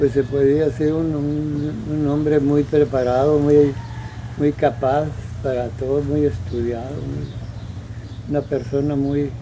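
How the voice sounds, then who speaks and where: A man's fairly high voice at a very slow pace, fairly even in intonation, over noticeable background noise. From Mexico, Sonora (rural Álamos area). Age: 90s. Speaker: elderly local resident recalling town history. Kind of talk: interview testimony. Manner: halting, many repetitions.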